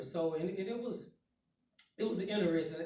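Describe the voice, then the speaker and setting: A man with a Southern US accent speaks at a fairly high pitch in a dark, mellow tone. Room echo is audible. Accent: country Southern. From Chattanooga, Tennessee (US South). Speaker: guest speaker. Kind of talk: life story talk to students.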